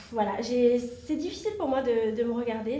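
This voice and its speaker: A woman with a dark, mellow tone speaks in a fairly high pitch. Room echo is audible. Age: 30s. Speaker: reality TV contestant and actress. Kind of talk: interview. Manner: hesitant, many fillers.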